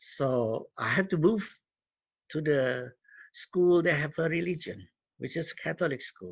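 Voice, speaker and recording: A man's fairly high voice with a non-native accent at a fairly slow pace, broken by long, frequent pauses. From Indonesia. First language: Cantonese. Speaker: community leader and guest speaker. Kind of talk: talk to students. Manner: halting.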